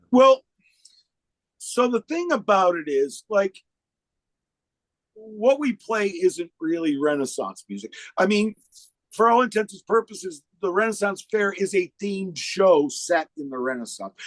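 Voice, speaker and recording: A man with an American accent, high pitch, very wide pitch swings, big swings in loudness, a fairly slow pace and long, frequent pauses. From upstate New York (Oswego). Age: 60s. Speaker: musician. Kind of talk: podcast interview. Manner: hesitant, repeats words.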